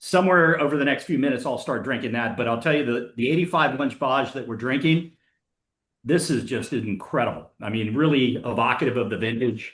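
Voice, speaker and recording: The speaker has a plain, everyday voice with ordinary pitch variation. The pace is fairly quick over a quiet background. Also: man. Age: 60s. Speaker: wine collector. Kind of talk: casual chat.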